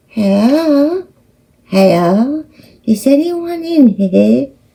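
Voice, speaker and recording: A female-sounding voice, put on as a character, speaks at a high pitch and a very slow pace. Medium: read story.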